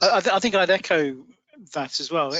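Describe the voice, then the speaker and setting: The voice belongs to a man with a British accent. He keeps to a moderate pace. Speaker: IT manager at a recruitment firm. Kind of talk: panel discussion.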